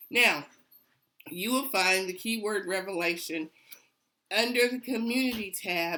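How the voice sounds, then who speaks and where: A woman's medium-pitched voice, bright and sharp in tone, with ordinary pitch variation, a fairly slow pace and long, frequent pauses. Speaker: online Bible study teacher. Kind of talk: Bible study teaching.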